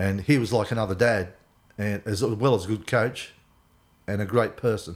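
In an Australian accent, a man speaks at a moderate pace. His pitch is fairly low and his intonation fairly even. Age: 60s. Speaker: athlete's father. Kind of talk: casual chat.

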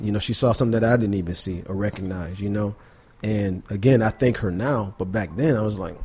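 A fairly low-pitched man with an American accent, over noticeable background noise. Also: ordinary pitch variation, fairly quick pace. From Buffalo, New York. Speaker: artist and educator. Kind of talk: casual interview. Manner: relaxed, conversational.

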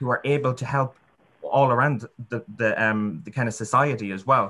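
In an Irish accent, a man with a bright, sharp tone speaks at a fairly quick pace. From Ireland. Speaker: student union president-elect. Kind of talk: panel discussion.

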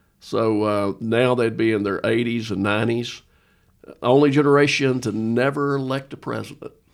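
A man's medium-pitched, normal speaking voice at a moderate pace, fairly even in intonation but with big swings in loudness, on a very clean recording with a silent background. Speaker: pastor. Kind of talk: casual chat.

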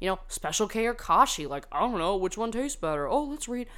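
With an American accent and audible vocal fry, a woman talks in an animated tone, her pitch swinging very widely. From US South. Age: 20s. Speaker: podcast host. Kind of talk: casual solo chat.

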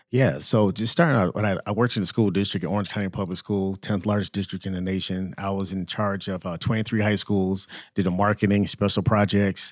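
With a plain, everyday voice, a man of fairly low pitch speaks at a fairly quick pace with hardly any pauses and fairly even intonation, in a very clean recording with a silent background. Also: dry, close sound with no echo. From US Virgin Islands and Orlando, Florida. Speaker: school foodservice consultant, military veteran. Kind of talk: casual interview. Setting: studio, in person.

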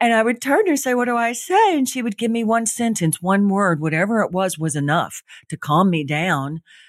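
A woman talks at a fairly quick pace with very wide pitch swings. The recording is very clean, with a silent background. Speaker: author and healing teacher, former actress. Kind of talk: casual interview. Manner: sassy, with a big laugh.

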